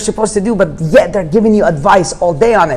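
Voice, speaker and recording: An animated man with an Arabic accent, talking at a very fast pace. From Jordan. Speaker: real estate investor. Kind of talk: podcast interview. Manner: fast, animated.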